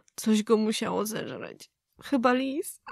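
A woman's plain, everyday voice at a moderate pace with ordinary pitch variation, dry and close with no echo, on a very clean recording with a silent background. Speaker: vlogger reading horror story. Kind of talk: creepy vlog-style scripted horror story, ghost story telling.

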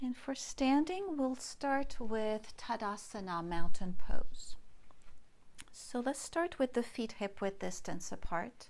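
Speaking very slowly, a woman uses a high pitch with very wide swings up and down. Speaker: yoga teacher. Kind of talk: tutorial instruction. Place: home room.

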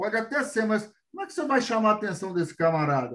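A man talks with lively intonation, the background around him quiet. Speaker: show host. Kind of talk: interview and studio presentation. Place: home room. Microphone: video call.

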